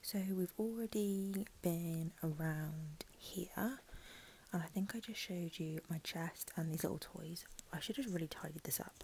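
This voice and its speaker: A woman whispers, soft-spoken and somewhat breathy. Her tone is gentle and her pace fairly slow. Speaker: ASMR creator. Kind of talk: ASMR room tour ramble. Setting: lo-fi Apple mic recording. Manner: soft-spoken, gentle, whispery.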